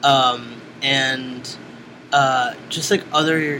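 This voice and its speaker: A man with an American accent speaks at a fairly high pitch in monotone, flat intonation. Noticeable background noise runs through the clip. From Brooklyn, New York (East New York). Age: 30s. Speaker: musician and sex educator. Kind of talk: oral history interview. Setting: interviewer's house.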